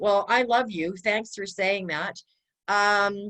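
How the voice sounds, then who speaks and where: A woman's medium-pitched voice at a fairly slow pace. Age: 60s. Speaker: library fundraiser and aspiring speaker. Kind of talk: casual chat. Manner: halting.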